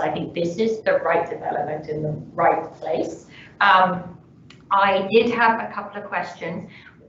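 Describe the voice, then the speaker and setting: A woman with a British accent, amid audible room echo and noticeable background noise. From United Kingdom. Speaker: councillor. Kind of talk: council questioning. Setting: council meeting.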